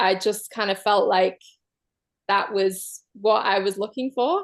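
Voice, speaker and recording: A woman with a Manchester accent, medium pitch and ordinary pitch variation, at a moderate pace. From northern England, Manchester. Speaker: guest sharing relationship story. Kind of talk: personal testimony in an online circle.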